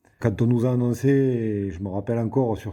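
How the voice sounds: A man's fairly low, dark and mellow voice with a southern French accent, at a moderate pace and with fairly even intonation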